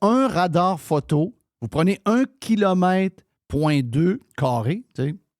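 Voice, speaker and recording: Recorded dry and close with no echo, a man with a Quebec accent speaks very slowly at a high pitch, with very wide pitch swings. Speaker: radio show host. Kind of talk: casual talk-radio commentary.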